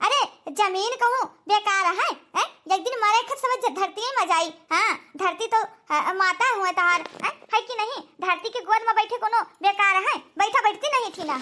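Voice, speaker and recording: A cartoonish character voice moves at a moderate pace. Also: woman, extremely high pitch for a woman. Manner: falsely sweet, condescending.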